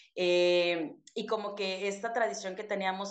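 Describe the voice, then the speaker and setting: Audible room echo surrounds a woman who speaks with fairly even intonation. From Mexico, Chiapas (Soconusco coast). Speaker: podcast co-host, teacher. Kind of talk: casual chat.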